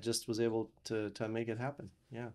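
The pace is moderate for this male speaker. Behind him, the background stays quiet. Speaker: podcast guest. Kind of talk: interview answer. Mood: warm, relaxed, some laughter. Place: studio. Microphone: studio mic.

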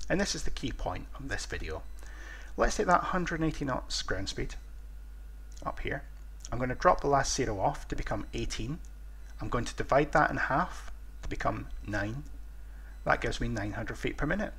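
A moderate pace broken by long, frequent pauses, in a British accent. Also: man. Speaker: flight simulation video creator. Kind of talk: tutorial. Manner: halting.

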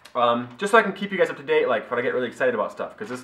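A man's bright, sharp tone carries audible room echo.

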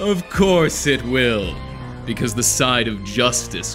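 A man at a very slow pace with music in the background. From Canada. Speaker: voice actor. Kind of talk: voice acting demo, dramatic scripted monologue. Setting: recorded with background music. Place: home room.

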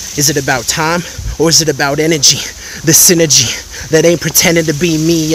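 A man talks at a moderate pace with fairly even intonation and a fairly high pitch. The sound is dry with no echo, and there is noticeable background noise. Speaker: spoken word poet. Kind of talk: improvised spoken word poetry. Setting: outdoors. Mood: reflective, inspirational. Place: waterside. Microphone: phone near.

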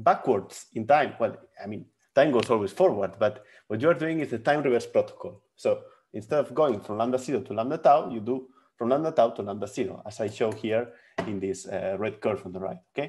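In a quiet background, a man talks at a fairly quick pace with lively intonation. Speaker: physics lecturer. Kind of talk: lecture. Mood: friendly, laughs briefly. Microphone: webcam.

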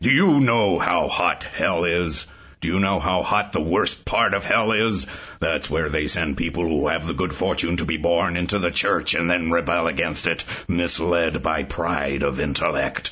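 A man with a very deep, low pitch speaks at a moderate pace, with ordinary pitch variation and very even loudness. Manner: angry, dogmatic, haranguing.

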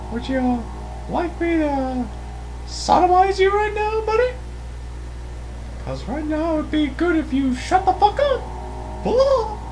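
A put-on character voice goes at a fairly slow pace over clear background noise. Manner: aggressive, taunting.

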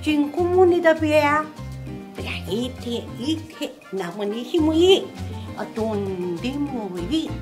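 With clear music in the background, a woman speaks in a Tsugaru accent. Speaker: storyteller. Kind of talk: casual conversation. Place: meeting room. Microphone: camera far.

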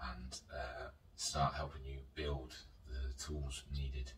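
Very deep and low in pitch, a man's voice stays monotone and flat. Audible room echo and light background noise can be heard. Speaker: vlogger. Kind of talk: casual vlog chat. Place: home room.

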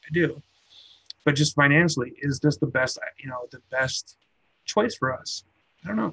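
Long, frequent pauses break up this man's speech at a moderate pace. His loudness swings widely. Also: ordinary pitch variation. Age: 30s. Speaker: vaping YouTuber. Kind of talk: live stream casual chat. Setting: home live stream with noisy air conditioner and computer. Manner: casual, rambling with frequent fillers. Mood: reflective, candid. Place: home room. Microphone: video call.

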